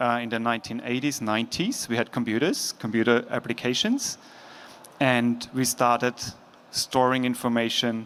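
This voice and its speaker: Speaking in an Austrian accent, a man at medium pitch keeps a moderate pace, very even loudness and monotone, flat intonation. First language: German. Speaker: logistics executive. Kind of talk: conference talk. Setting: stage with audience. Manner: casual.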